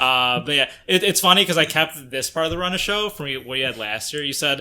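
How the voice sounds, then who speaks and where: Bright and sharp in tone, a man speaks with an American accent and ordinary pitch variation. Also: fairly high pitch for a man, fairly quick pace. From United States. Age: 20s. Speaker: gaming podcast host. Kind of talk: casual chat. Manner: halting.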